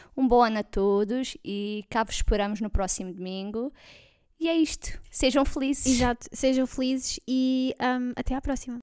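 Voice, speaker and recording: Heard on a very clean recording, dry and close with no echo and a silent background, a woman with a slight Alentejo accent speaks at a moderate pace in a high pitch with ordinary pitch variation. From Portugal, Alentejo (Vendas Novas). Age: 20s. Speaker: podcast co-host, forensic technician. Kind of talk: casual chat.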